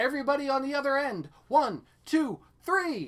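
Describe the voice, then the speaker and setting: Put-on character voice, raised and projected, high in pitch, at a moderate pace. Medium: read story. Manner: brave, helpful.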